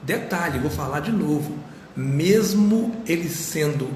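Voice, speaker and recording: A man's fairly high voice with lively intonation at a very slow pace, amid noticeable background noise and audible room echo. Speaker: pastor. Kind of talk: sermon. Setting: live stream. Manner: soft-spoken.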